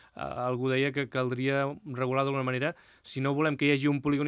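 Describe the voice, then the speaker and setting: Against a quiet background, a man talks. His voice is fairly high in pitch. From Catalonia. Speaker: local TV interviewer. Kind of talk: interview. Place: studio. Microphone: studio mic.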